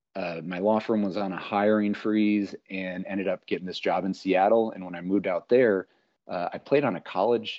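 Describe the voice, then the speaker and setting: This man has a normal speaking voice with an American accent. His pitch is fairly low and his pace moderate. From Minnesota. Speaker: political candidate and amateur baseball pitcher. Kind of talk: casual chat.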